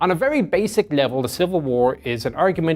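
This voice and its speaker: With music in the background, a man speaks with lively intonation. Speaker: military historian, tank expert. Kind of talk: lecture. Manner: conversational with frequent fillers.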